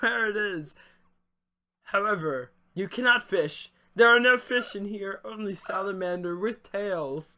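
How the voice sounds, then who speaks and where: A man uses a put-on character voice, pitched high, at a moderate pace. He leaves long, frequent pauses. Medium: actual play. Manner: formal, old-fashioned phrasing.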